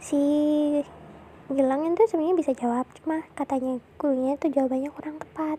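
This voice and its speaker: A woman speaks at a fairly quick pace in a high voice with fairly even intonation. Her tone is dark and mellow. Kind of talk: casual storytelling to a partner about school days. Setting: recorded near a road with traffic noise. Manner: soft, intimate.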